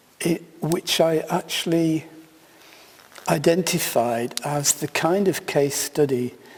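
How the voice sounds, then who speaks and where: A man with a British accent. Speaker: keynote speaker, sociologist of science. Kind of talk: keynote lecture.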